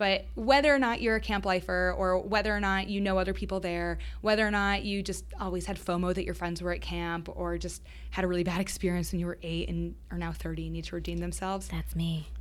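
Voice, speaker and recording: A woman talks at a fairly quick pace with hardly any pauses. Audible room echo is present. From Boston area. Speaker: founder of an adult summer camp company. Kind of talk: interview.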